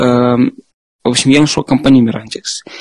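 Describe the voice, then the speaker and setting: A man with an unremarkable speaking voice talks at a moderate pace and medium pitch, with fairly even intonation, in a dry, close sound with no echo. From Moscow, Russia. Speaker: software developer. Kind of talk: casual interview chat.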